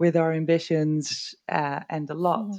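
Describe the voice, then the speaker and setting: A woman with a Dutch accent, fairly low in pitch, at a moderate pace. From rural northern Netherlands. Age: 30s. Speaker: IT worker and local politician. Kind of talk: casual interview.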